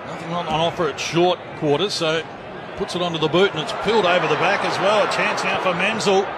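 A man with an Australian accent talks at a fairly quick pace in an excited tone, his pitch high. Noticeable background noise runs behind him. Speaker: sports commentator. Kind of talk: live sports commentary. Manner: excited, fast play-by-play calling.

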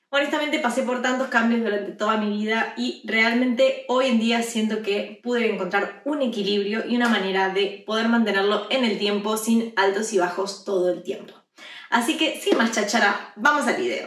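A woman's voice at a moderate pace, with ordinary pitch variation and audible room echo. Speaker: fitness vlogger. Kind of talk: casual vlog chat. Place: home room.

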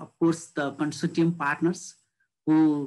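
A man with a Nepali accent and a fairly high pitch. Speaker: government official; panelist. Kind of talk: panel discussion. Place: home room. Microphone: video call.

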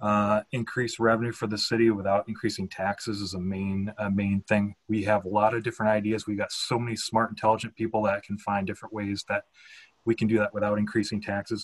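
In an American accent, a man talks at a very fast pace, his fairly low voice monotone and flat. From Minnesota, northern and Northfield. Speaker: city council candidate. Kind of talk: candidate forum answers. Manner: halting.

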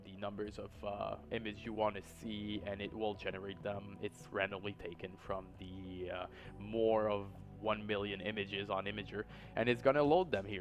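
Music plays in the background behind a man's voice. His pitch is fairly low and his intonation fairly even. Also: moderate pace. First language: not English. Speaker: YouTube host. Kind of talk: internet mystery narration. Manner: hesitant, many fillers.

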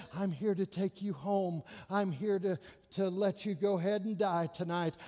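At a moderate pace, the words come in a put-on character voice. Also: man, high pitch for a man. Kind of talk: sermon. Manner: deceptively gentle.

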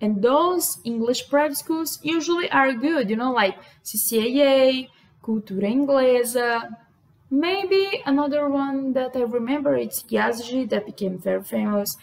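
With a Brazilian accent, a woman speaks fairly slowly in a high voice with lively intonation. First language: Portuguese. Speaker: vlogger. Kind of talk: casual talk to camera. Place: home room. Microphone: webcam.

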